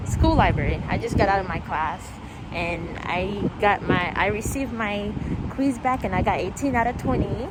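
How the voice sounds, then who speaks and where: Soft-spoken and at a moderate pace, a woman talks with lively intonation amid audible room echo and noticeable background noise. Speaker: vlogger. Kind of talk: casual vlog.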